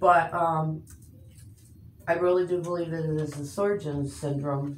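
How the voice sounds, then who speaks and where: Through audible room echo, a woman talks in a very deep, low pitch with fairly even intonation. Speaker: patient. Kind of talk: casual chat. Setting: doctor's office. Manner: halting.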